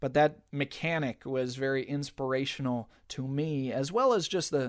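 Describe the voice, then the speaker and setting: A man's plain, everyday voice at medium pitch, with fairly even intonation and a moderate pace, in a very clean recording with a silent background. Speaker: podcast host and game teacher. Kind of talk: tutorial. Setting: studio.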